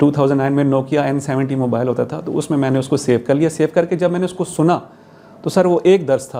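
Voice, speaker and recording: A man with an ordinary speaking voice, fairly high in pitch, with fairly even intonation. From Abbottabad, Pakistan. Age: 40s. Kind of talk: interview answer.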